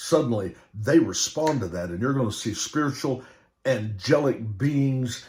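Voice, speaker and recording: Somewhat breathy and animated in tone, a man speaks at a fairly slow pace. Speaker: preacher. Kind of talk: sermon.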